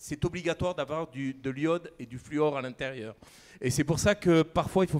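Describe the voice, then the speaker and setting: This man speaks with a Camargue accent. His voice sits at a fairly high pitch. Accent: southern French (Camargue). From southern France, Camargue. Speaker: chef. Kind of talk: conference talk.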